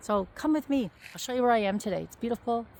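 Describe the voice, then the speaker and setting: A woman with a Canadian accent speaks at a very fast pace. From Ontario, Canada. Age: 60s. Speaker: vlogger promoting online courses. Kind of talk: casual walking vlog. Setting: outdoors on a walk.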